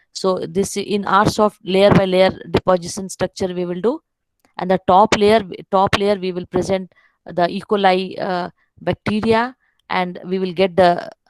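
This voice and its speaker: A woman at a fairly slow pace and medium pitch, with fairly even intonation and a dry, close sound with no echo. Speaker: keynote speaker, professor. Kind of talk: webinar lecture. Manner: halting, many fillers.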